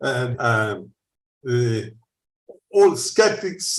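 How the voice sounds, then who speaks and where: A man speaks with an Italian accent. His voice is somewhat breathy, with audible room echo. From Italy. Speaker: researcher. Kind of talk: conference Q&A. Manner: halting.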